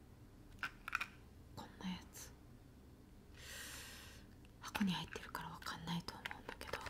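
A woman's whisper at a very slow pace, with big swings in loudness. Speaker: ASMR channel host. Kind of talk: soft casual vlog chat. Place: home room. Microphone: studio mic.

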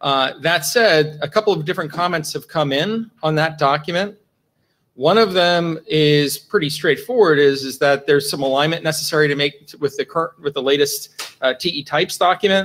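The speaker is a man with ordinary pitch variation. He talks at a moderate pace. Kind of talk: meeting status report. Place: meeting room.

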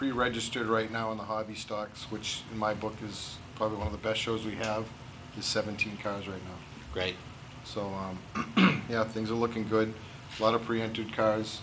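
Flat, monotone delivery from a man with a fairly low pitch, at a moderate pace over noticeable background noise. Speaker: guest. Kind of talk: interview answer. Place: hall. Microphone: camera far.

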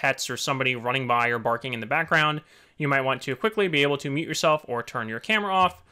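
The background stays quiet. Over it, a man speaks with lively intonation. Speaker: software tutorial maker. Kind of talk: tutorial. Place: home room.

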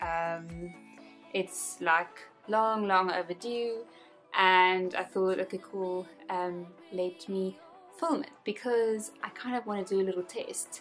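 Faint music plays in the background as a woman talks at a very slow pace with ordinary pitch variation. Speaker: beauty vlogger. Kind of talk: casual vlog chat. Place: home room.

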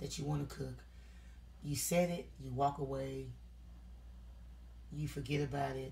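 A woman with a low voice and a slightly mellow tone speaks at a moderate pace in a fairly even intonation, with audible room echo.

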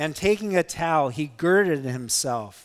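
A man talks fairly slowly with ordinary pitch variation against a quiet background. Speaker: pastor. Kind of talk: scripture reading in a sermon. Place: church.

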